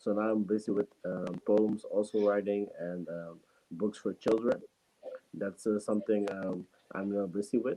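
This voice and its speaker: A fairly low-pitched man with a non-native accent, dark, mellow tone, monotone, flat intonation and moderate pace. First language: not English. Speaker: student and entrepreneur. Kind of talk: interview answer on a talk show. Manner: halting, many fillers.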